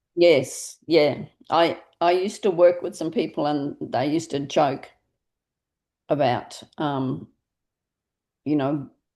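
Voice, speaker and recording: Against a quiet background, a woman with an Australian accent speaks at a very slow pace with long, frequent pauses, her pitch very deep and low with ordinary variation. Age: 60s. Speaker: directory founder and interviewer. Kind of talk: casual interview chat.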